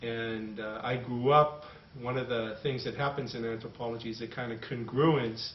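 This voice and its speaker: A man with an American accent, monotone and flat in intonation, at a moderate pace with audible room echo. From Boston, USA. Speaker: anthropologist. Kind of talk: interview answer. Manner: hesitant, thoughtful. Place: home room. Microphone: camera far.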